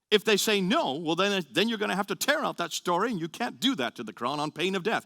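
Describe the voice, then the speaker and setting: Raising and projecting his voice, a man speaks at a high pitch with a bright, sharp tone. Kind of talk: lecture. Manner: fast.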